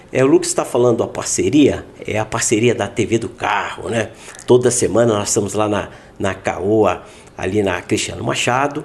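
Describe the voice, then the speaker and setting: A man speaks at a moderate pace in a normal speaking voice. His pitch is medium and his intonation fairly even. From Minas Gerais, Brazil. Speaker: podcast host. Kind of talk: casual interview chat.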